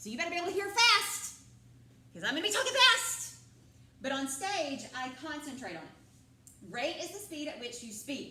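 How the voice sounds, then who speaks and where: A woman's high-pitched, raised, projected voice at a moderate pace, with very wide pitch swings, big swings in loudness, noticeable background noise and audible room echo. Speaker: drama teacher. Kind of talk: classroom lecture. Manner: loud, projecting.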